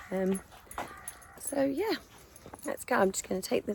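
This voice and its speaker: Over noticeable background noise, a woman talks with a southern English accent. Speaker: vlogger. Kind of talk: casual vlog talk to camera. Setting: outdoors on a dog walk. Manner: quiet.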